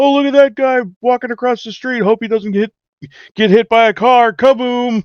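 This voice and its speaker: In a put-on character voice pitched extremely high, a man speaks at a moderate pace with fairly even intonation, the sound dry and close with no echo. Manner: comedic, play-by-play.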